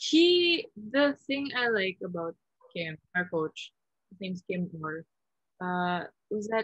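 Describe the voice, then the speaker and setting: Woman at a very slow pace, dry sound with no echo and a quiet background. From Philippines, then Vancouver, Canada. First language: Tagalog. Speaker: volleyball player; guest. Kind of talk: interview. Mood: calm, reflective. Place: home room. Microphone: video call.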